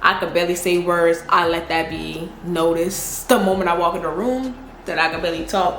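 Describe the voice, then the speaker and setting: Talking at a fairly quick pace with a strong Southern US accent, a woman uses a fairly low pitch and fairly even intonation, with audible room echo and noticeable background noise. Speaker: YouTuber. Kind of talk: casual Q&A vlog. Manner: casual, slangy.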